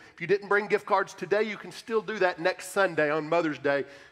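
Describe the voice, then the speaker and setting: A man with a high-pitched voice speaks at a moderate pace with fairly even intonation over faint background music. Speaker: pastor. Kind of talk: church announcements. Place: church.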